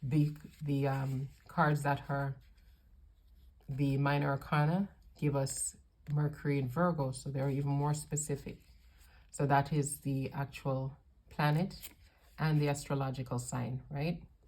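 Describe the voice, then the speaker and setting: Speaking at a fairly slow pace with long, frequent pauses, a woman uses a very deep, low pitch, a somewhat breathy voice and monotone, flat intonation. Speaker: tarot reader. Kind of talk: unboxing video review.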